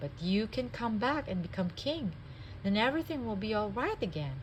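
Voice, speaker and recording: A female-sounding, put-on character voice comes through at a fairly high pitch and a moderate pace. Background noise is clearly audible. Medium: read story.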